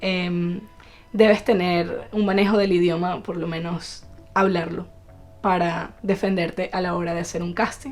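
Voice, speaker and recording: With music in the background, a woman speaks at a fairly slow pace and fairly even intonation. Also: fairly low pitch for a woman. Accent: Venezuelan. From Venezuela. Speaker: actress. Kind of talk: podcast interview answer.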